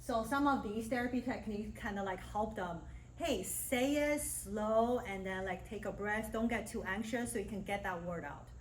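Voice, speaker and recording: Hardly pausing, a woman with a fairly high pitch and vocal fry talks at a moderate pace with ordinary pitch variation, her voice carrying audible room echo. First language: Mandarin Chinese. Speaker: speech language pathologist and university lecturer. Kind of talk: guest lecture. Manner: casual, conversational.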